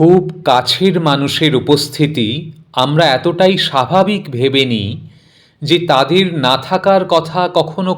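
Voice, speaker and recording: Lively intonation marks a man's fairly high voice, which is an ordinary speaking voice. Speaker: poetry reciter. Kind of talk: spoken introduction to a poem.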